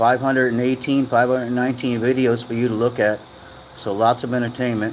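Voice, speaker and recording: There is noticeable background noise as a man with an American accent speaks at a medium pitch. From USA. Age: 60s. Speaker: live streamer. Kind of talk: casual chat. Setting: livestream. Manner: halting.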